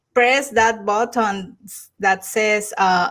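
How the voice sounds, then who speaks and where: On a very clean recording with a silent background, a woman with a Mexican accent speaks at a very slow pace. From Mexico. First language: Spanish. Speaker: YouTuber. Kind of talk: casual chat. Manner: halting.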